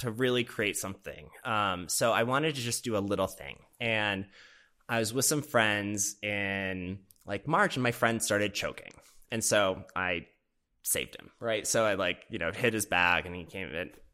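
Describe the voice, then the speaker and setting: Recorded very cleanly against a silent background, a man with an American accent speaks at a fairly low pitch in a bright, sharp tone, his loudness swinging widely. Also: ordinary pitch variation, moderate pace. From US Midwest, Minnesota. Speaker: filmmaker and PR professional. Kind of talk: casual chat. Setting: in the mountains.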